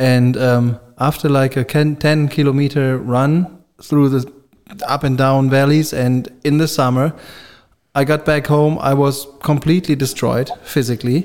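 A man with an ordinary speaking voice talks at a moderate pace and medium pitch. His intonation stays fairly even. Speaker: podcast host. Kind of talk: casual chat.

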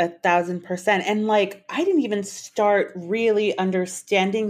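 A woman speaks at a moderate pace with an American accent and fairly even intonation, in an ordinary speaking voice. The background is quiet. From Texas. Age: 30s. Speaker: model. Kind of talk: casual chat.

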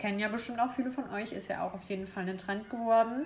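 Against noticeable background noise and audible room echo, a woman talks very fast with ordinary pitch variation. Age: 20s. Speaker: podcast co-host, interior design student. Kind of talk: casual chat.

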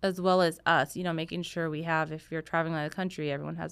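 Recorded very cleanly with a silent background, a woman speaks with fairly low pitch and ordinary pitch variation. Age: 30s. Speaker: photographer and mom blogger. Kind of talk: casual interview chat.

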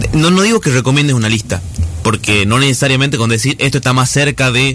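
A man speaks at a fairly quick pace, his medium pitch showing ordinary variation. Noticeable background noise sits behind him. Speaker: radio host. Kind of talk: radio interview.

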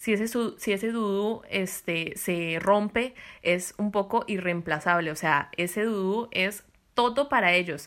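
In a Costa Rican accent, a woman speaks at a fairly slow pace with a medium pitch and ordinary pitch variation, on a very clean recording with a silent background. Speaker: podcast host. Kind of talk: casual chat.

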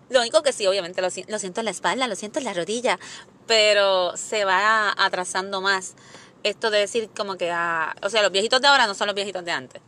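At a fairly quick pace, a woman speaks in a bright, sharp tone at medium pitch, with ordinary pitch variation. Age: 30s. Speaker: podcast host. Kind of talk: casual chat.

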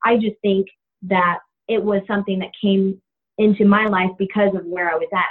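In an American accent, a woman speaks at a fairly quick pace with a medium pitch. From Florida, Tallahassee. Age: 20s. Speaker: pastor's daughter and graphic designer. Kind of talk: interview. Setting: phone call.

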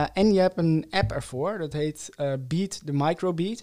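A man's dark, mellow tone moves at a fairly slow pace on a very clean recording with a silent background. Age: 20s. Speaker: co-founder of a sustainable oral care brand. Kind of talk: interview. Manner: halting, many fillers.

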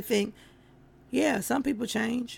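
Vocal fry runs through this voice, whose intonation is fairly even. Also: woman. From North Carolina. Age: 40s. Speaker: podcast host. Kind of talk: casual solo livestream talk. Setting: Facebook live stream. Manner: loud.

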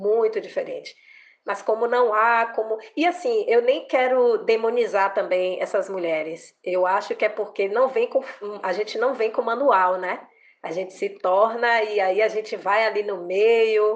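In an unremarkable speaking voice, a woman talks fairly slowly at a fairly high pitch with ordinary pitch variation. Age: 40s. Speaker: lawyer. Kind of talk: interview.

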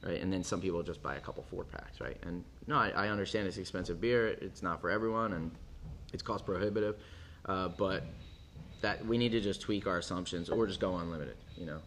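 In a room with audible echo, a man with an American accent and a very deep, low pitch talks at a very fast pace with ordinary pitch variation. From US East Coast, Philadelphia. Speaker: brewery co-founder. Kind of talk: casual interview.

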